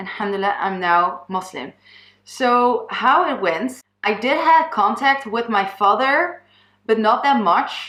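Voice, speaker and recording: A woman with a Dutch accent speaks fairly slowly in a fairly high voice with lively intonation. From Netherlands. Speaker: YouTuber. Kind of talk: personal testimony. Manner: halting.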